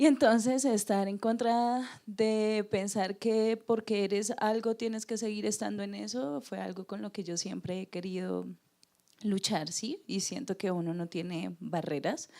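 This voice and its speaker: Fairly slow and medium-pitched, a woman speaks with a dark, mellow tone. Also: ordinary pitch variation. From Colombia, Neiva. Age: 20s. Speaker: university student. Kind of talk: personal testimony.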